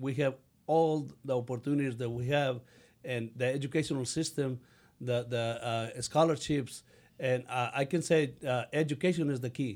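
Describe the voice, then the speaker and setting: A man with a Mexican accent speaks at a moderate pace and medium pitch with fairly even intonation, captured in a very clean recording with a silent background. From Mexico. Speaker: city council candidate. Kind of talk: interview answers. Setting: studio. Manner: halting, broken English when emotional.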